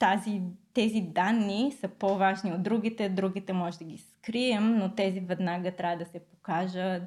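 With a slight Australian accent, a woman speaks at a medium pitch. Her pitch varies in an ordinary way. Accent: slight Australian English tinge in Bulgarian. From Bulgaria. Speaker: product designer. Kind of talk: interview conversation. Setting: studio.

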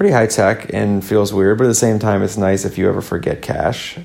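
A man in a Midwestern accent speaks at a moderate pace. Noticeable background noise runs underneath. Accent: general American Midwest. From US Midwest. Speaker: podcast host. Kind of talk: solo podcast monologue. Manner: casual, chatty.

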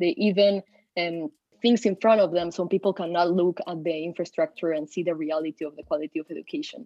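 Her pace is very fast, in a Spanish accent. The woman's pitch is fairly low, with ordinary pitch variation. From Peru. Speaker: university student. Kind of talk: casual discussion.

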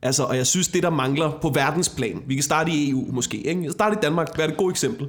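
Here a man talks at a fairly quick pace in an ordinary speaking voice with ordinary pitch variation. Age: 20s. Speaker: comedian. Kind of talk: casual chat. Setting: home kitchen.

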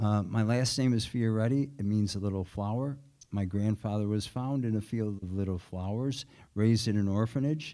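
Recorded very cleanly against a silent background, a man with a Chicago accent speaks in a dark, mellow tone with fairly even intonation. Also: fairly low pitch for a man, moderate pace. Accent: Chicago American. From Chicago, South Side. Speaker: former city alderman, political candidate. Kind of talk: candidates forum debate. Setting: stage with audience.

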